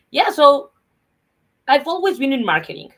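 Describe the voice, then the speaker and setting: At a fairly quick pace, a woman speaks with a Mexican accent. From Mexico. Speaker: comedian and former marketer. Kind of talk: interview conversation.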